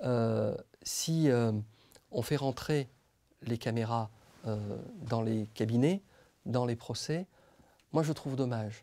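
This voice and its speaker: In a dark, mellow tone, a man speaks at a very slow pace with ordinary pitch variation and long, frequent pauses. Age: 40s. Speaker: public prosecutor. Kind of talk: interview. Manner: hesitant, many fillers; measured, reflective. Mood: calm, measured, thoughtful. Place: studio. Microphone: lapel.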